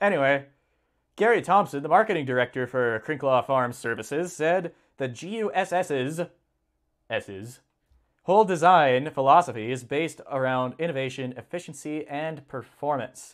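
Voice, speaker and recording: A man with a plain, everyday voice talks at a moderate pace, his pitch fairly high and his intonation lively. The recording is very clean, with a silent background. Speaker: livestream host reading farm news. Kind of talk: casual live stream, reading articles aloud with commentary.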